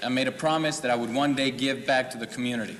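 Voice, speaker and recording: Over noticeable background noise, a man with a Spanish accent speaks at a very fast pace. His medium pitch carries fairly even intonation. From Mexico until 13, then Fort Worth, Texas. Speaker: political candidate. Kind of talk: campaign speech at candidates forum.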